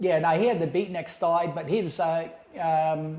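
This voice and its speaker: A man talks with a high pitch. Room echo can be heard around him. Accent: Australian. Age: 60s. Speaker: ex-cult member telling life story. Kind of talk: podcast interview.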